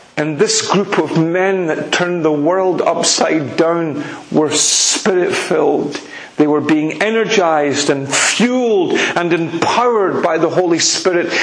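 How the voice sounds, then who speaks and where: There is noticeable background noise as a high-pitched man speaks at a fairly slow pace, with ordinary pitch variation and very even loudness. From Scotland (Edinburgh), later Republic of Ireland. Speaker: preacher. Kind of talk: sermon. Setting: church.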